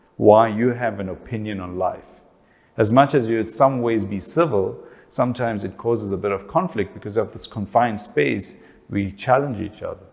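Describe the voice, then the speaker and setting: This speaker, with a South African accent, talks at a moderate pace with ordinary pitch variation and big swings in loudness. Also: man, fairly low pitch for a man. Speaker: family relationships speaker.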